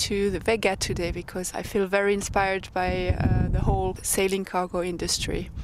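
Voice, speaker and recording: Against noticeable background noise, a woman with a medium pitch speaks with hardly any pauses. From Switzerland. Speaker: sailor, former architect. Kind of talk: interview.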